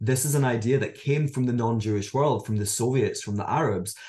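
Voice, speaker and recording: A man speaks with a Scottish accent at a medium pitch. His tone is dark and mellow, and somewhat breathy. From Scotland. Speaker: author and educator. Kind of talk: interview about his book.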